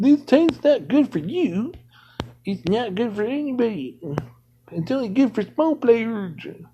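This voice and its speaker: In a put-on character voice, the speaker talks at a fairly slow pace and a fairly high pitch, with long, frequent pauses. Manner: mocking, dismissive.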